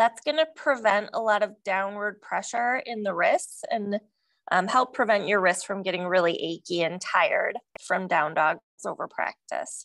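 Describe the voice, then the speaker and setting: Over a quiet background, a plain, everyday voice moves at a moderate pace with lively intonation. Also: woman, medium pitch for a woman. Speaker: yoga teacher. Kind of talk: guided yoga class cueing breath-linked movements. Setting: yoga studio with live class. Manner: calm, rhythmic breath-paced instructions; warm, encouraging and gently humorous.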